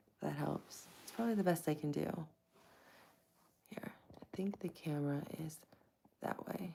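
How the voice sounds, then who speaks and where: Soft-spoken, a woman with a very deep, low pitch and a dark, mellow tone talks at a moderate pace with ordinary pitch variation, big swings in loudness and long, frequent pauses. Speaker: live streamer. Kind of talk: casual chat. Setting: live stream.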